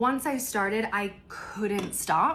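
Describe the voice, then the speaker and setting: Speaking very slowly, a woman with an American accent has a medium pitch and a bright, sharp tone. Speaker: lifestyle vlogger. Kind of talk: casual vlog chat. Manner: chatty, conversational.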